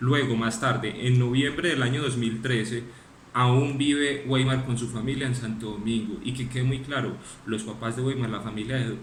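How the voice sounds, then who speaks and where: Both noticeable background noise and audible room echo come through in the recording. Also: man. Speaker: lawyer. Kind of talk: closing argument in court hearing. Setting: virtual court hearing, video call. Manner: fast; formal.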